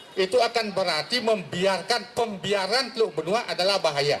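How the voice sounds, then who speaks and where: With ordinary pitch variation, a man talks while noticeable background noise plays behind him. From Bali, Tanjung Benoa. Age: 60s. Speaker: teacher and lecturer speaking at public forum. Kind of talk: public forum speech. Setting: public forum with audience.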